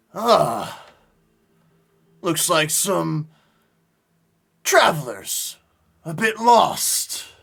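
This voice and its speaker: A man's high-pitched, put-on character voice at a very slow pace, with long, frequent pauses. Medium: actual play. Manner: falsely courteous.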